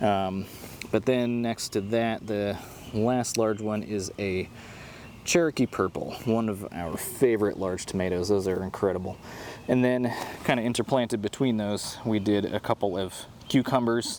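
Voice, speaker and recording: A man talks in a relaxed tone at a fairly low pitch. His pace is moderate and his intonation fairly even. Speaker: gardening YouTuber. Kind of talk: casual garden tour. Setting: outdoors in garden. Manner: monotone; relaxed, filler-heavy.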